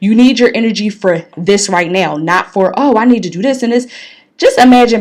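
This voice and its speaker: A woman talks at a moderate pace with lively intonation. Her pitch is medium. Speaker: podcast host. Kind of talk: motivational podcast monologue. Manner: loud; energetic.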